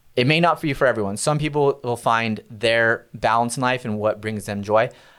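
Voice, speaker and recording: An ordinary speaking voice from a man with an American accent, medium in pitch with ordinary pitch variation, at a moderate pace on a very clean recording with a silent background. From California, Central Valley (Visalia). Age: 30s. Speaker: sales executive at a tech company. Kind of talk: podcast interview.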